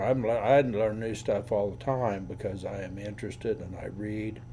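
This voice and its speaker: In a room with audible echo, a man speaks at a fairly low pitch with a dark, mellow, somewhat breathy tone, fairly even intonation, big swings in loudness and hardly any pauses. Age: 70s. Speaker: attorney. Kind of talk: casual chat. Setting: recorded conversation with a friend on camera.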